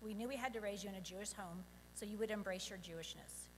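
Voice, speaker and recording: Very fast speech from a woman at medium pitch, somewhat breathy, with fairly even intonation and audible room echo. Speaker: parent of bar mitzvah boy. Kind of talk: prepared speech. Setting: synagogue service.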